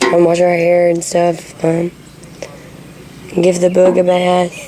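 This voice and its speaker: Over music in the background, a woman with a Southern US accent speaks at a medium pitch and a fairly slow pace. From Alabama. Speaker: video blogger. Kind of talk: casual video diary. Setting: at home during power outage. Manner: hesitant, many ums.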